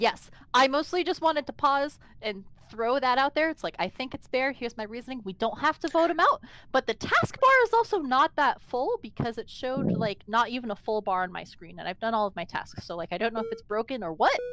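A high-pitched woman's voice with a bright, sharp tone and lively intonation, recorded dry with no echo. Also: fairly quick pace. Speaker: online game player; game streamer. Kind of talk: casual gaming chat. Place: home room.

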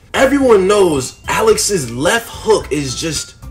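Faint music can be heard behind the voice. The speaker is a man. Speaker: sports commentator vlogger. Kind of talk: casual commentary. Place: home room. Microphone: phone near.

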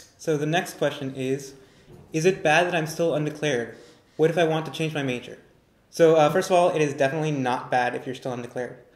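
In an American accent, a man speaks at a very fast pace with a fairly high pitch and fairly even intonation, his voice carrying audible room echo. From Northern California. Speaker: recent graduate, orientation leader; panelist, moderator. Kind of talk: live Q&A panel. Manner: halting, many fillers. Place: classroom. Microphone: camera far.

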